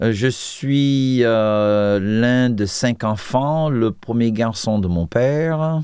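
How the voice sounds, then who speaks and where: In an American accent, a man with a medium pitch and a dark, mellow tone talks at a very slow pace with hardly any pauses. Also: ordinary pitch variation, very even loudness. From US, Washington D.C. suburbs. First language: English (speaking French). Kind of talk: testimony interview. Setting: TV studio. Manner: hesitant, many fillers.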